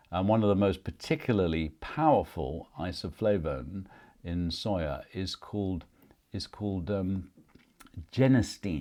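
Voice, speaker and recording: On a very clean recording with a silent background, a man with a very deep, low pitch and a dark, mellow tone speaks fairly slowly with lively intonation. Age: 60s. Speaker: nutrition podcast host. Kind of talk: solo podcast monologue. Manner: casual with fillers and hesitations.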